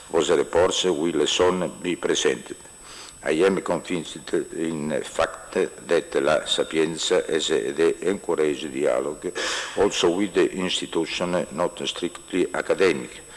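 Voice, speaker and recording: A man with an Italian accent at a fairly slow pace, noticeable background noise behind him. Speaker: university official. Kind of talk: formal speech. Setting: conference hall. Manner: halting.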